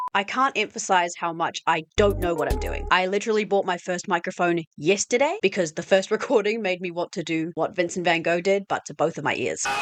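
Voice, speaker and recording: A woman with a New Zealand accent, medium pitch, ordinary pitch variation, fairly quick pace with hardly any pauses, and a dry, close sound with no echo. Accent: Kiwi. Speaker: video essayist. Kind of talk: scripted narration. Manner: trying to sound lively, slightly awkward.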